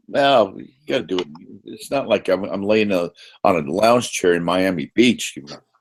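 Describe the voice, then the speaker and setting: The delivery has lively intonation and big swings in loudness. It moves along at a moderate pace. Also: man, very deep, low pitch for a man. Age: 60s. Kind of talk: casual chat.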